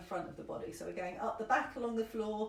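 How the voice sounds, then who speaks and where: Her voice sits at a fairly high pitch. The woman is recorded with audible room echo. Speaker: somatic movement teacher. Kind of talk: guided movement class. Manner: fast, rambling.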